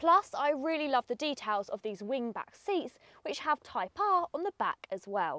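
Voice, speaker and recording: A high-pitched woman uses a raised, projected voice with an enthusiastic tone and a bright, sharp sound. She moves at a moderate pace with very wide pitch swings, in a dry, close recording with no echo. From Essex, England. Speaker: car reviewer, video host. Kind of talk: car review presentation.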